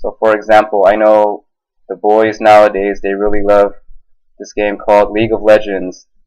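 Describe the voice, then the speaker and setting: Speaking in an American accent at a moderate pace, a man keeps a monotone, flat intonation at fairly low pitch. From United States. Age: 20s. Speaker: ESL teacher. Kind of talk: self-introduction video. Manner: hesitant, many fillers.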